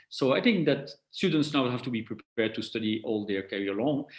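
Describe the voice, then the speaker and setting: At a fairly quick pace, a man speaks with a non-native accent. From Belgium. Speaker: tech company executive. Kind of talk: interview. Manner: halting with repetitions.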